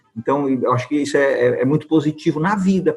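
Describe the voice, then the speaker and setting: Moderate-paced speech from a man, music playing in the background. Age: 60s. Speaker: channel host, theatre coach. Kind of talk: casual chat.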